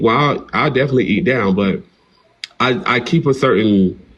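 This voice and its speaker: A man's medium-pitched voice with a Southern accent. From US South, small-town North Carolina. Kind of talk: interview. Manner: casual, animated.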